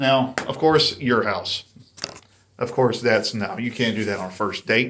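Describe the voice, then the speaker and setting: A man with an American accent speaks at a moderate pace in a medium pitch, his intonation fairly even. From US South, North Carolina. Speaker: YouTuber, dating commentator. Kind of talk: casual monologue commentary. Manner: casual, conversational.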